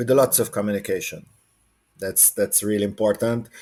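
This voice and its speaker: A man speaks with a Hungarian accent at a fairly low pitch. His intonation is monotone and flat. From Hungary. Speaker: water polo coach. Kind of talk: podcast interview. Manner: halting.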